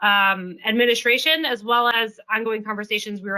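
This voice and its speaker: Loud and bright with a sharp tone, a woman speaks at a fairly high pitch. Her pace is moderate and her intonation fairly even. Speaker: policy executive of a federal employees association. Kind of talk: online presentation. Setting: video conference.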